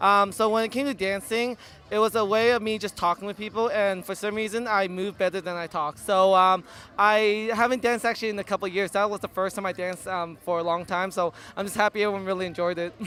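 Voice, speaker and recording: A man with a slight Chinese accent talks very fast in a raised, projected voice, high in pitch with a bright, sharp tone. The recording is very clean, the background silent. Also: fairly even intonation. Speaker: pageant winner. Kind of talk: interview. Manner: halting.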